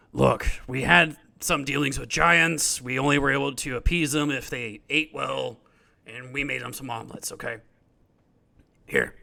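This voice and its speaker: Using a put-on character voice, a man sounds raspy at a medium pitch, keeping a moderate pace while his loudness swings widely. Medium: actual play.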